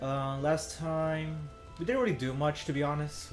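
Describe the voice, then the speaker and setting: A man's fairly high voice at a fairly slow pace, with music in the background. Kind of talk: casual gameplay commentary. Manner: stuttering, hesitant.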